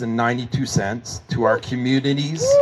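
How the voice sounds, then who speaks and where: A man with a French accent speaks at a fairly slow pace, showing ordinary pitch variation. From Manitoba, Canada. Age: 50s. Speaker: hockey pool organizer, former corrections officer. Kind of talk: memorial speech.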